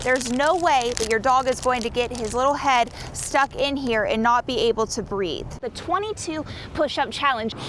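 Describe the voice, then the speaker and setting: High female speech against noticeable background noise. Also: ordinary pitch variation, moderate pace. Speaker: television news reporter. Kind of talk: news reporter stand-up montage, on-camera delivery.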